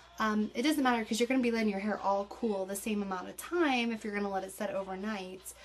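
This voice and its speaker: A woman with a fairly high voice talks at a very fast pace with hardly any pauses. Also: ordinary pitch variation. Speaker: beauty vlogger. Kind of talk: tutorial. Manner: casual.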